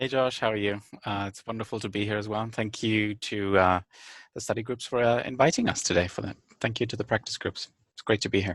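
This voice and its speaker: Captured with a dry, close sound and no echo, a man talks at a very fast pace with fairly even intonation. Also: fairly low pitch for a man. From eastern Germany. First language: German. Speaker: conference interpreter. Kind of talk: webinar talk.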